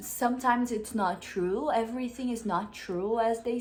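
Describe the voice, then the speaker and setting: A woman's fairly high voice with a Brazilian accent, at a fairly slow pace with ordinary pitch variation. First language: Portuguese. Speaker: vlogger. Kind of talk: casual chat. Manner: halting.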